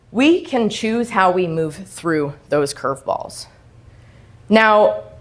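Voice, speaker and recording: Loud and at a very slow pace, a woman with a fairly high voice makes very wide pitch swings amid audible room echo. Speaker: self-sabotage coach. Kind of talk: motivational talk. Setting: stage with audience. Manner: animated.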